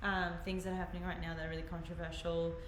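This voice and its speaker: A woman with an Australian accent is heard with audible room echo and noticeable background noise. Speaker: livestream host. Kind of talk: casual chat. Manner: quiet; halting. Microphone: quiet on the stream.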